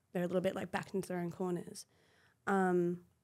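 A woman with an Australian accent and a fairly low pitch, in a very clean recording with a silent background. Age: 30s. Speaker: former fashion model. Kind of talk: casual chat.

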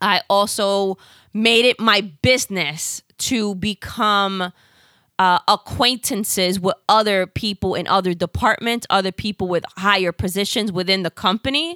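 A woman's medium-pitched voice with a New York accent, bright and sharp in tone, at a fairly slow pace with ordinary pitch variation, in a very clean recording with a silent background and a dry, close sound with no echo. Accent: New York Bronx. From South Bronx, New York. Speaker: podcast co-host. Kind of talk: casual chat. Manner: banter, teasing.

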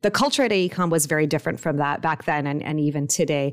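A woman speaks at a very fast pace. Her voice is very deep and low, with ordinary pitch variation. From Los Angeles, US. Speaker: urban planner and engineering firm executive. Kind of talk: interview.

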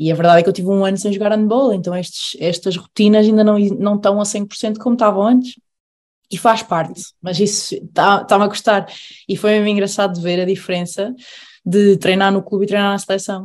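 A woman's normal speaking voice, fairly quick and fairly even in intonation, over a quiet background. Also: medium pitch for a woman. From Aveiro, Portugal. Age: 20s. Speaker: professional handball player. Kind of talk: casual chat.

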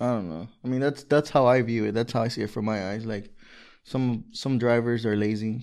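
A man speaks with an American accent in an ordinary speaking voice, at a medium pitch. His pace is moderate and his intonation fairly even. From Los Angeles, California. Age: 20s. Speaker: truck driver and trucking company owner. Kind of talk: casual chat. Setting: studio.

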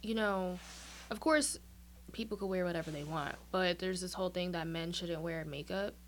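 Speaking in a New York accent, a woman keeps a moderate pace. Her pitch is fairly low, with ordinary variation. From Brooklyn, New York. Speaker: aspiring singer and actress. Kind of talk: casual chat.

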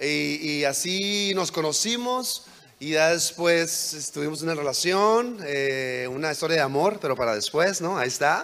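The intonation is lively. Noticeable background noise and audible room echo surround the voice. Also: man, fairly high pitch for a man, fairly slow pace. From Mexico, border with California. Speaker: guest preacher. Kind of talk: sermon. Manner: halting.

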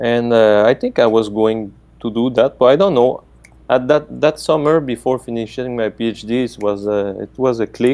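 Delivered at a moderate pace with ordinary pitch variation, this dark, mellow voice carries a Quebec accent. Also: man, medium pitch for a man. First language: French. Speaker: professor. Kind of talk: casual interview.

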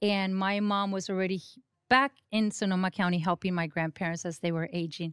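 At a fairly quick pace, a woman with a Mexican accent speaks at a medium pitch, the sound dry and close with no echo. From Mexico. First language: Spanish. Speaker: county government administrator. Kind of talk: interview. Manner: animated.

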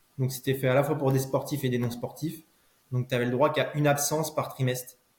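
Somewhat breathy, a man at medium pitch talks at a fairly quick pace in a monotone, flat intonation. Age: 30s. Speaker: former pro cyclist turned cycling coach. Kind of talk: casual interview chat.

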